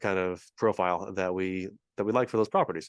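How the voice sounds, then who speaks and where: A man speaks with a West Coast accent. The sound is dry and close with no echo, over a quiet background. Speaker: real estate investor. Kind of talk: interview. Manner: fast.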